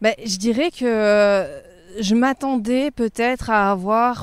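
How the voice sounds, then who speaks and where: The woman's voice sits at a fairly high pitch with ordinary pitch variation. She speaks very slowly, and the sound is dry and close with no echo. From Provence, southern France. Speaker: journalist. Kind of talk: casual interview. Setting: outdoors, walking in a park. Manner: calm.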